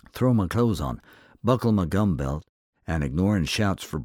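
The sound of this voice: With lively intonation, an unforced reading voice comes through over a quiet background.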